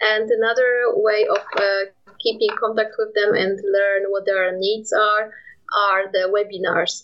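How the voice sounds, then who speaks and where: Speaking in a Polish accent, a woman keeps a medium pitch and a moderate pace with monotone, flat intonation. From Poland. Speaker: nuclear industry communications manager. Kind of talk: interview. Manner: halting.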